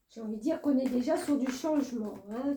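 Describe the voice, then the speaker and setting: This woman's voice is high in pitch. Its tone is dark and mellow. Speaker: tarot reader. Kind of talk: tarot reading guidance monologue. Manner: hesitant with many fillers.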